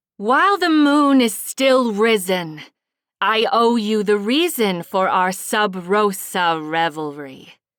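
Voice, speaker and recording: Using a put-on character voice, a woman of medium pitch speaks at a fairly slow pace in a theatrical tone. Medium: read story. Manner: commanding, theatrical.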